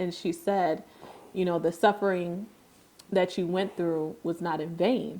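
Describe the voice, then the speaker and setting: Her voice sits at a medium pitch, flat and monotone, as a woman speaks in an American accent. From upstate New York. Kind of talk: podcast conversation.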